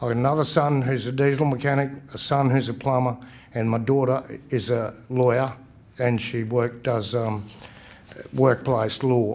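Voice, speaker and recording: With a strong Australian accent, a man speaks at a moderate pace with fairly even intonation and long, frequent pauses. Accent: broad Australian. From western Queensland, Australia. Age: 60s. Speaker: election candidate. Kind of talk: campaign speech at candidates forum. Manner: halting, with false starts.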